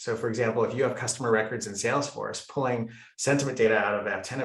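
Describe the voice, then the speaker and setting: Talking at a very fast pace, a man uses a medium pitch. Audible room echo fills the recording. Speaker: company executive. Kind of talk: webinar presentation.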